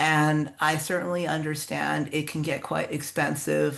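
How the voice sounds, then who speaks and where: A woman speaks with a very deep, low pitch, vocal fry, and a monotone, flat intonation. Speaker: contest organizer, writer. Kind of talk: workshop talk.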